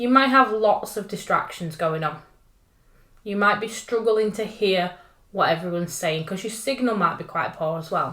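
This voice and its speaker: Speaking in a northern English accent, a woman keeps a medium pitch, a moderate pace and ordinary pitch variation. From northern England. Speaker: tech trainer. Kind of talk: tutorial. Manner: casual and upbeat.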